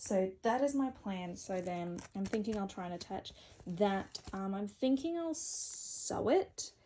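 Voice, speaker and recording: A woman's dark, mellow, somewhat breathy voice at medium pitch, fairly slow in pace, with lively intonation. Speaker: cosplayer and vlogger. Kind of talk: casual vlog. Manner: quiet.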